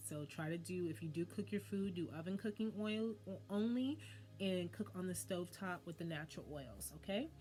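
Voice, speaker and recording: A woman talks at a fairly quick pace in an animated tone, her pitch very deep and low yet swinging very widely. Vocal fry runs through her voice. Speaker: wellness channel host. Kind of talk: monologue to camera. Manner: fast.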